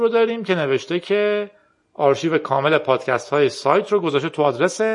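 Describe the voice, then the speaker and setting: Very wide swings in pitch from a man talking fairly quickly. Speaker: podcast host. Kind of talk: casual tech talk.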